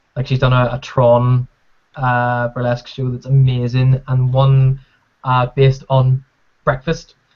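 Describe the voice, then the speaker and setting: In a Northern Irish accent, a man talks fairly slowly at a medium pitch. His intonation is monotone and flat. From Northern Ireland. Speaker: podcast co-host. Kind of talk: casual chat.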